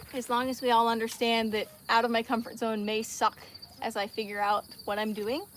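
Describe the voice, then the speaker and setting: A woman speaks in a fairly high voice. There is noticeable background noise behind her. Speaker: farmer and social media creator. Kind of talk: casual livestream chat. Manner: fast.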